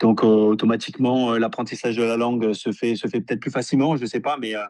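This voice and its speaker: Very fast, monotone, flat speech from a man at medium pitch, over a quiet background. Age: 30s. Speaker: professional footballer. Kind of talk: interview. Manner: halting, many repetitions and fillers.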